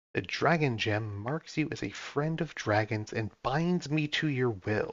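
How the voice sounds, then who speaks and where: At a fairly slow pace, a man does a hissing, put-on character voice at a medium pitch. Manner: hissing, imperious.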